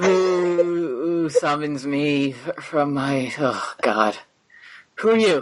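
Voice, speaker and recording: The pace is very slow. The voice is a put-on character. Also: man, fairly high pitch for a man. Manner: confused, just summoned.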